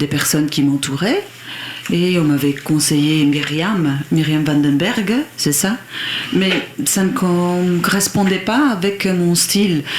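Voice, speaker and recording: With noticeable background noise behind it, the voice moves at a very slow pace with long, frequent pauses, ordinary pitch variation and very even loudness. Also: woman, fairly low pitch for a woman. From Belgium, Liège region. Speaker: country singer. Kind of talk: radio interview. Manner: halting, hesitant.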